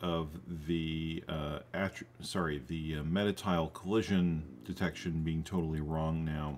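Amid light background noise, a man talks in a very deep, low voice with fairly even intonation. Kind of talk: tutorial. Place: home room.

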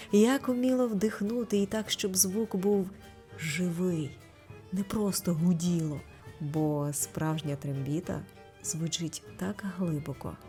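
Over music in the background, a woman speaks very slowly at a fairly low pitch with lively intonation. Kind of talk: light humorous documentary narration.

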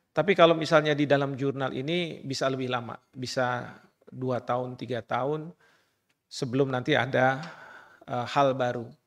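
A man has a normal speaking voice at a medium pitch and moderate pace, with fairly even intonation, against a quiet background. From Indonesia. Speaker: law professor. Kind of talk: formal speech. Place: hall. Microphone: podium.

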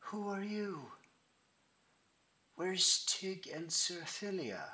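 A man in a put-on character voice talks very slowly, shaky and high-pitched.

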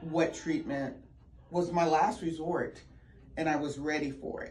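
In an American accent, a woman talks at a moderate pace with a very deep, low pitch and fairly even intonation, and audible room echo surrounds her. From Virginia, Richmond. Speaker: patient giving testimonial. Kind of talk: testimony.

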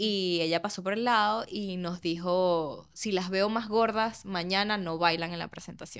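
A woman talks in an ordinary speaking voice, medium in pitch, at a fairly slow pace. Her intonation is fairly even, and the background is quiet. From Venezuela. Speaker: podcast host. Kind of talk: casual chat. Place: studio. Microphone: studio mic.

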